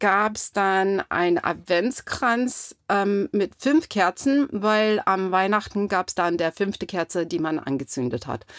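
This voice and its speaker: The recording is very clean, with a silent background. A woman with a medium pitch speaks very slowly, using lively intonation. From US Pacific Northwest (Clarkston, Washington). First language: English (speaking German). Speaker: interviewee, American immigrant. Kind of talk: casual interview. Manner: halting, many fillers.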